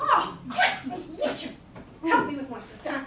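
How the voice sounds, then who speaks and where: In a put-on character voice, a woman speaks at a high pitch with lively intonation and a fairly slow pace. A slight echo and clear background noise are present. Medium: stage play. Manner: haughty, imperious.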